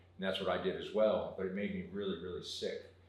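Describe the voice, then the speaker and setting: A man with an American accent speaks at a very fast pace, with audible room echo and noticeable background noise. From South Jersey, US. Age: 50s. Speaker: water filtration business owner. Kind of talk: interview. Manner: casual.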